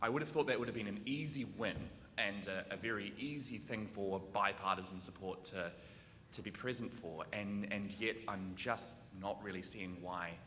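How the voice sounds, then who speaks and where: Fairly low-pitched speech from a man with a New Zealand accent at a moderate pace, over noticeable background noise. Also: ordinary pitch variation. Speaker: audience member asking a question. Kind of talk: audience question. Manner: hesitant, many fillers.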